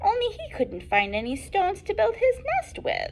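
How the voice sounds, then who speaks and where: A woman puts on a character voice at an extremely high pitch, with big swings in loudness. She keeps a moderate pace over clear background noise. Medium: read story.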